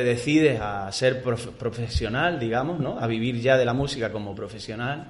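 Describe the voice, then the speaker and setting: A man talks with ordinary pitch variation over noticeable background noise, and the room echo is audible. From Almería, Spain. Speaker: singer. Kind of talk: radio interview. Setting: radio studio.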